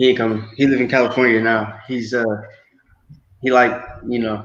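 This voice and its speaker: Audible room echo carries a man's medium-pitched voice, delivered at a moderate pace with monotone, flat intonation. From US South, Georgia (Gwinnett County). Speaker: interview guest. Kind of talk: interview. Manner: casual.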